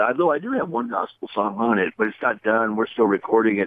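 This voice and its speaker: Here a man talks at a very fast pace. His pitch is medium, with ordinary pitch variation. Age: 60s. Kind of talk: interview. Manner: halting, many fillers.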